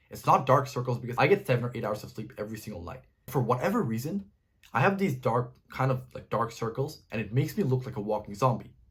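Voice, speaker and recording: This man talks at a very fast pace in a medium pitch, somewhat breathy, with a slight non-native accent. His loudness swings widely. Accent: slight non-native pronunciation. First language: not English. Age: 20s. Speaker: self-improvement YouTuber. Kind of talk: direct-to-camera advice talk.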